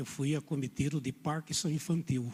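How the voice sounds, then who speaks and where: Soft-spoken and somewhat breathy, a man talks at a fairly high pitch with fairly even intonation. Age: 70s. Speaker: preacher. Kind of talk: sermon. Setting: church.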